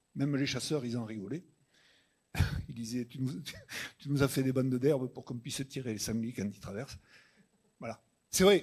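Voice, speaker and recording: Here a man speaks at a medium pitch. He keeps a moderate pace with ordinary pitch variation. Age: 60s. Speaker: farmer. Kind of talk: panel Q&A answer.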